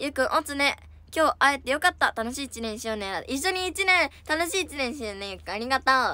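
Raised and projected, a woman's high, bright, sharp voice moves at a fairly quick pace with an animated tone and very wide pitch swings, the sound dry with no echo. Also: big swings in loudness. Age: 20s. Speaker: idol livestreamer. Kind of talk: casual chat. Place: home room. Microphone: phone near.

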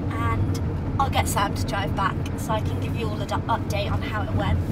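At a moderate pace, a woman is talking. Loud background noise fills the recording. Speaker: horse rider vlogger. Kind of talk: casual vlog chat. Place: car. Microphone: camera far.

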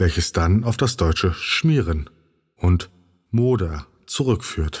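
Very deep, low male voice, somewhat breathy, with a calm, soothing tone and a very slow pace. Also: very clean recording, silent background. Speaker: narrator of a sleep podcast. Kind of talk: sleep story narration, informative encyclopedic reading.

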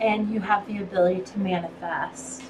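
Noticeable background noise runs under a woman who speaks at a very slow pace. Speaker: tarot reader. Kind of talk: tarot reading monologue.

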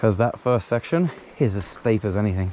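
Dry with no echo, the voice moves at a moderate pace with ordinary pitch variation over light background noise. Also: man. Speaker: fishing vlogger. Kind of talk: casual vlog chat. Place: waterside. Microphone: phone near.

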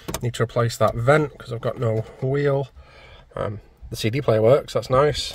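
A man at a moderate pace, dry sound with no echo, noticeable background noise behind him. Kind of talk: casual vlog chat. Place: car. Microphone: phone near.

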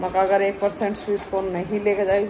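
A woman speaks over noticeable background noise. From Haryana. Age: 40s. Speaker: vlogger. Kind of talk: casual chat. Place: home room. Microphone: phone near.

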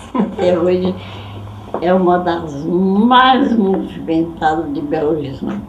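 A woman speaks at a very slow pace with lively intonation. Audible room echo and light background noise are present. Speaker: great-grandmother storyteller. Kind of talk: interview answer. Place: home room.

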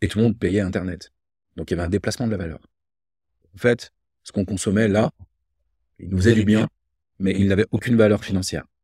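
Over a quiet background, a man talks very fast yet with long, frequent pauses, his fairly low pitch, dark, mellow tone and fairly even intonation heard in a dry sound with no echo. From France, Loire (Rive-de-Gier, between Saint-Étienne and Lyon); France. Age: 50s. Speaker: entrepreneur; guest. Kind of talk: casual interview conversation. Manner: hesitant, repeated words. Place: home room.

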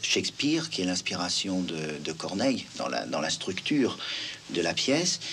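Light background noise under a male speaker. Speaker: stage actor and director. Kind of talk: television interview answer. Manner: thoughtful, explanatory, conversational. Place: home room.

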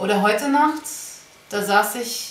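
The pace is very slow as a woman speaks with ordinary pitch variation. Audible room echo hangs around her voice. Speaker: diary vlogger. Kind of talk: personal diary monologue. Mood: quiet, heavy, reflective. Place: home room. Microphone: webcam.

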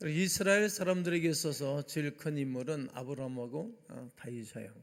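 With an unremarkable speaking voice, a man talks at a moderate pace, his fairly high pitch showing ordinary variation. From South Korea, Gimpo, Gyeonggi. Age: 60s. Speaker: pastor. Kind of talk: sermon.

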